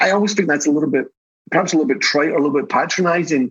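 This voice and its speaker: A man with a Scottish accent and a fairly high pitch. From Scotland. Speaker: tech company CEO. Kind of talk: podcast interview. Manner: fast when excited.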